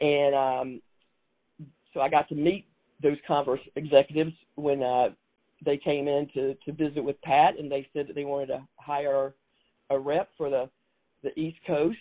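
Fairly even intonation marks this moderately paced voice in a South Carolina accent. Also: woman. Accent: Southern US, South Carolina. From South Carolina Low Country. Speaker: basketball executive and award winner. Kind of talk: interview conversation.

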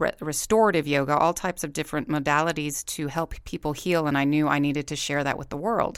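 This woman's pitch is very deep and low, her pace fairly quick and her pitch variation ordinary, on a very clean recording with a silent background. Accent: American. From Corpus Christi, Texas. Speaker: podcast co-host, yoga teacher, former nurse. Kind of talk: casual chat.

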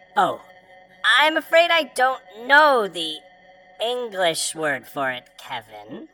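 A female-sounding voice puts on a character voice at a fairly high pitch and a fairly slow pace. Long pauses come often, with faint music in the background. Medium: audio drama. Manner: overly polite, literal-minded, repeats names.

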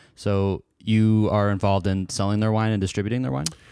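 In a very clean recording with a silent background, a man with an American accent speaks at a fairly quick pace. He has an ordinary speaking voice, fairly low in pitch. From Portland area, Oregon. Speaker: podcast host. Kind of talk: casual interview.

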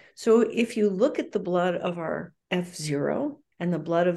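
Against a quiet background, a woman with a fairly low pitch and a dark, mellow tone speaks at a fairly slow pace with vocal fry and lively intonation. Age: 70s. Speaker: epidemiologist, research director. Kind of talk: interview.

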